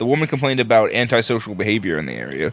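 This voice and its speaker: Very fast and medium in pitch, a man talks with vocal fry. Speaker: podcast co-host. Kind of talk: casual chat, profane banter.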